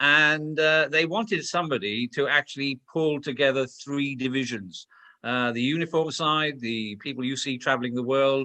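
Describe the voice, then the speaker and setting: Ordinary pitch variation marks a man's fairly high voice as he speaks at a moderate pace in a Welsh accent. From Wales. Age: 60s. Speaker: former police commander and security expert. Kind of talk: interview. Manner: blunt, straight talking.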